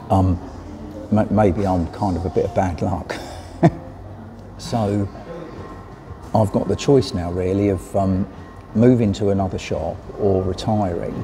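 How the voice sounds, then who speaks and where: With music playing behind him, a man talks at a fairly slow pace in a fairly low voice, his intonation fairly even and his pauses long and frequent. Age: 60s. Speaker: vlogger and cyclist. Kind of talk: casual vlog talk to camera. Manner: hesitant, many fillers.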